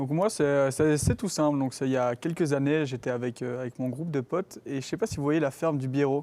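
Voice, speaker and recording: With hardly any pauses, a man speaks at a fairly quick pace in a dark, mellow tone, his fairly high pitch showing ordinary variation. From Belgium, Gembloux. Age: 20s. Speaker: university student ambassador. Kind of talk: casual chat. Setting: live stream studio.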